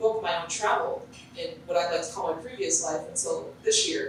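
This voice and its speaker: A woman talks while noticeable noise runs in the background. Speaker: TV play-by-play announcer for a pro basketball team. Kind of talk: interview answer at a press luncheon.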